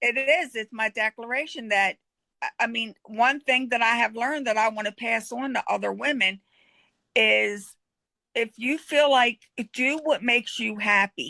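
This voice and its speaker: A woman with a fairly high pitch talks at a moderate speed, her pitch varying in an ordinary way. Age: 60s. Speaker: coaching participant. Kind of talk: casual chat. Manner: animated.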